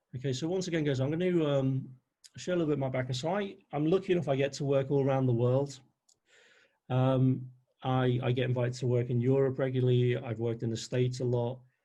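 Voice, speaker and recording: A man with a Liverpool accent talks very fast in a somewhat breathy, medium-pitched voice. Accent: Liverpool (Scouse). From northern England, Liverpool. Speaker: NLP trainer. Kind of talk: webinar presentation. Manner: animated.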